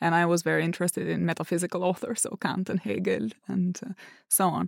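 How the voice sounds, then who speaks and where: A woman with a medium pitch and an unremarkable speaking voice speaks at a fairly quick pace in a very clean recording with a silent background and a dry, close sound with no echo. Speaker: political philosopher. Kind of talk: intellectual podcast discussion.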